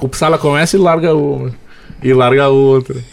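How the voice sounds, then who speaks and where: Someone speaks at a fairly quick pace in a normal speaking voice, with ordinary pitch variation. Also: man. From Porto Alegre, southern Brazil. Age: 20s. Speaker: sports radio commentator. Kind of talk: casual interview.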